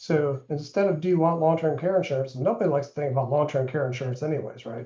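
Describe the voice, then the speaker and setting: Talking at a very fast pace, a man has a somewhat breathy, dark, mellow tone and ordinary pitch variation. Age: 60s. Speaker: insurance agent. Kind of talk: webinar presentation. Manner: casual, filler-heavy.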